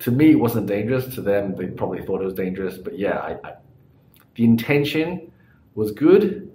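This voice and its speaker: A man's somewhat breathy voice has a dark, mellow tone, with audible room echo around it. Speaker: cycling vlogger. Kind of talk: casual vlog chat. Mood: relaxed, apologetic. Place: home room. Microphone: phone near.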